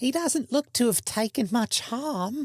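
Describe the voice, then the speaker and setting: This is a put-on character voice with a fairly high pitch. The delivery moves at a fairly slow pace. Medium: read story. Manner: calm, polite.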